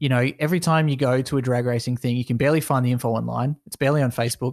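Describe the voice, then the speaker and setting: Speaking at a very fast pace, a man holds a medium pitch with fairly even intonation. The sound is dry and close with no echo, against a quiet background. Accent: Australian. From Australia. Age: 20s. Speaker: esports business owner. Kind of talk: casual interview.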